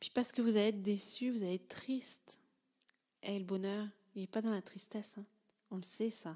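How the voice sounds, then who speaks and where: There are long, frequent pauses as a woman talks at a moderate pace and medium pitch. Her tone is dark and mellow, her intonation fairly even. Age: 30s. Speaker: life coach and podcaster. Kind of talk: personal storytelling monologue. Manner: halting, many filler sounds.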